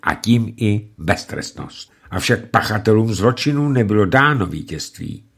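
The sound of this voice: Delivered in an unforced reading voice, the speech has ordinary pitch variation.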